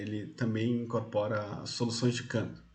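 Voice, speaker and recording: A man recorded amid noticeable background noise and audible room echo. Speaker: university lecturer. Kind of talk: lecture. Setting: online class from home.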